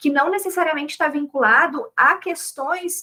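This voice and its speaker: A woman speaks in a raised, projected voice. Her tone is bright and sharp. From Brazil, Rio Grande do Sul. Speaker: chemistry education professor and researcher. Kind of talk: academic talk at a round table.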